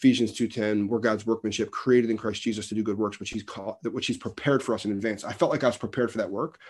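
This man speaks very fast with an American accent. His intonation stays fairly even. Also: medium pitch for a man, quiet background. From New Jersey. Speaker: pastor and author. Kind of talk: interview conversation.

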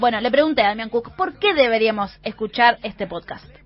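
Speaking with a Rioplatense accent, a woman has a high pitch and lively intonation. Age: 30s. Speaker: radio host. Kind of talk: radio segment with interview clips.

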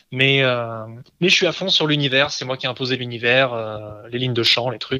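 Fairly quickly and with fairly even intonation, a man talks. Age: 30s. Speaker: comics translator. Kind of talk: casual interview. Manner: halting, many repeated words.

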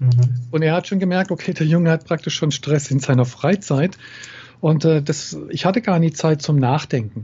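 A man speaks in an unremarkable speaking voice, fairly high in pitch, at a moderate pace. His loudness stays very even and his pitch varies in an ordinary way. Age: 50s. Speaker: NLP trainer and coach. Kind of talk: interview.

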